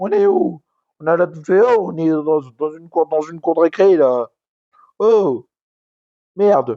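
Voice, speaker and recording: With a high pitch and a dark, mellow tone, a man talks at a fairly slow pace, leaving long, frequent pauses, his loudness swinging widely and his pitch varying in an ordinary way. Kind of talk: casual talk to camera, wrestling commentary rant. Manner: ranting, loud.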